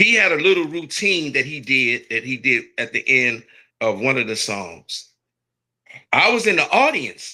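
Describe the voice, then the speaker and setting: A man speaks at a fairly slow pace, his fairly high pitch swinging very widely, with vocal fry. His tone is bright and sharp in a very clean recording with a silent background. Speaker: radio host. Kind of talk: interview.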